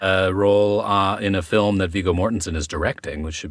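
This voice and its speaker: His pitch is very deep and low. The man keeps his speech at a moderate pace. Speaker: actor. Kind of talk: podcast conversation.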